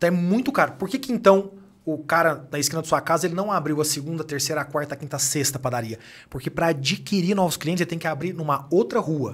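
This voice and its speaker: Fairly high in pitch, a man's voice comes through. He talks at a very fast pace. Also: ordinary pitch variation. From Brazil, Minas Gerais (Uberaba); Minas Gerais, Brazil. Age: 30s. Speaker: company executive and author; podcast guest. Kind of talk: podcast interview. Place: studio. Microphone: studio mic.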